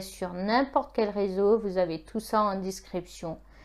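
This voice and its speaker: At a fairly slow pace, a woman with a medium pitch talks with fairly even intonation. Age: 20s. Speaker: YouTuber. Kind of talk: vlog monologue. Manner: halting, many hesitations; earnest. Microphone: iPhone 6.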